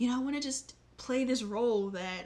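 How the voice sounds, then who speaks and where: A woman's somewhat breathy voice. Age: 20s. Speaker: vlogger. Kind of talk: casual chat. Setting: home, in front of display. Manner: animated.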